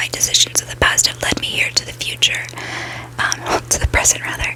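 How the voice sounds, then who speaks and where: Noticeable background noise beneath a woman's whisper. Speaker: ASMR creator. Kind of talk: casual talk to camera. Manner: whispered, soft-spoken.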